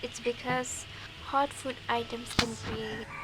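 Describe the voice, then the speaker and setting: With music in the background, a woman speaks at a fairly slow pace in a fairly high pitch. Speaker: home cook. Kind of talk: cooking tutorial narration.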